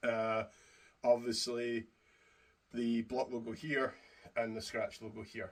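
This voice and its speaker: A man with a Scottish accent speaks at a fairly slow pace, his pitch sitting in the medium range. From Scotland. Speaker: YouTuber reviewing wrestling belt replicas. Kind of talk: product review to camera. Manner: casual, hesitant with fillers.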